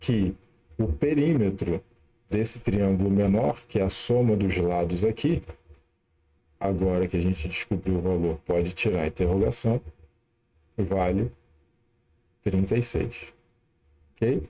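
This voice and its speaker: A man's very deep, low voice at a fairly slow pace, with very even loudness, ordinary pitch variation and long, frequent pauses. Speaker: math teacher. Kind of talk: live-streamed lesson. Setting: live stream.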